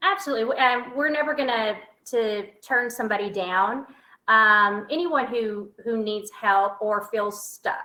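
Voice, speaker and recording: Fairly slow speech from a woman with a Southern accent, fairly high in pitch, bright and sharp in tone, with ordinary pitch variation. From Texas. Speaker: motivational speaker and author. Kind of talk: interview. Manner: sassy, colorful storytelling.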